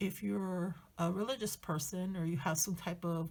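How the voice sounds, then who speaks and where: A woman with a fairly low pitch speaks at a moderate pace, somewhat breathy, with ordinary pitch variation. The recording is very clean, with a silent background. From Spanish-speaking country, moved to the US. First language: Spanish. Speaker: journaling YouTuber. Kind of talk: casual tutorial chat. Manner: hesitant, many fillers.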